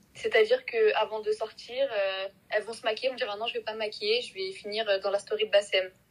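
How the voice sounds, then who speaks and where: With monotone, flat intonation, a woman speaks at a fairly high pitch. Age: 20s. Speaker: marketing student. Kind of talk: casual chat.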